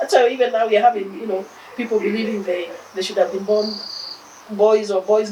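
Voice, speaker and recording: With a Kenyan accent, a woman talks at a fairly quick pace in a fairly high pitch with ordinary pitch variation, over noticeable background noise. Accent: Kenyan accent, kept. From Kenya, Nairobi. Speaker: philanthropist, charity founder. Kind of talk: interview.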